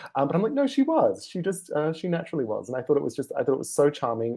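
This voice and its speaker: The speaker is a man with a fairly high pitch. His tone is dark and mellow. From Australia. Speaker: film critic. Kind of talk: casual chat.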